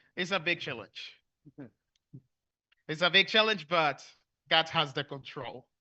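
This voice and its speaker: Big swings in loudness, long and frequent pauses, a fairly slow pace and ordinary pitch variation. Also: man, fairly high pitch for a man. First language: Spanish. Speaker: preacher. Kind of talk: sermon. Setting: church. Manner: halting.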